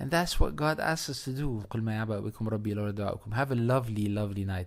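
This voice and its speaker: A man with a medium pitch and ordinary pitch variation talks at a fairly quick pace in a very clean recording with a silent background. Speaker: radio host. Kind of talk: casual monologue commentary. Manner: fast.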